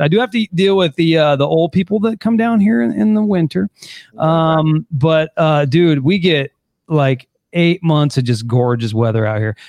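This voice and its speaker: At a moderate pace, a man with a plain, everyday voice speaks at a fairly high pitch with lively intonation. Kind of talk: casual chat.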